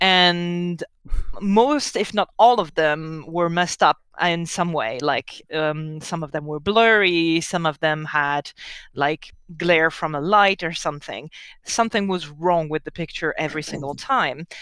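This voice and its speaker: A woman with a French accent speaks at a fairly low pitch, fairly slow, with ordinary pitch variation. The recording is very clean with a silent background, and the sound is dry and close with no echo. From France. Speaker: tabletop game master. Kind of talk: game session recap. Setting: live stream.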